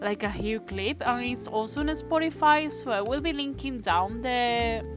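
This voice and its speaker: Music plays in the background as a woman with a strong non-native accent speaks at a moderate pace. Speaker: animator. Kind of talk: casual talk to camera.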